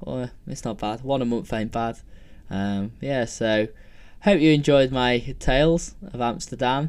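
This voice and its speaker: This man's pitch sits in the medium range and varies in an ordinary way. His is an unremarkable speaking voice. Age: 20s. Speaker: podcaster. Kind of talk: casual solo monologue. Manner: rambling, filler-heavy.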